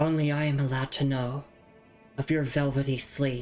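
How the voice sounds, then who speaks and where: Soft-spoken and monotone, a put-on character voice at a low-to-middle pitch moves at a moderate pace over clear background music. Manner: gentle, intimate, possessive.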